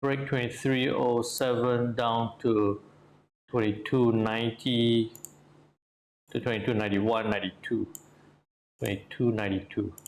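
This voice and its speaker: A put-on character voice mumbles at a moderate pace and very even loudness, with long, frequent pauses. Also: man, medium pitch for a man. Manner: mumbling; thinking aloud.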